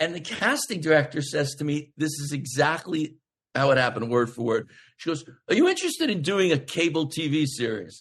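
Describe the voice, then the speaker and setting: A somewhat breathy, fairly high-pitched man's voice with an American accent, a fairly quick pace and ordinary pitch variation. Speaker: actor. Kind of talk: casual chat. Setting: podcast interview. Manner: fast.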